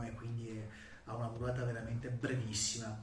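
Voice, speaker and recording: At a fairly quick pace, a man speaks in a flat monotone at medium pitch over noticeable background noise. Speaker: electric skateboard reviewer. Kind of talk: product review talk to camera.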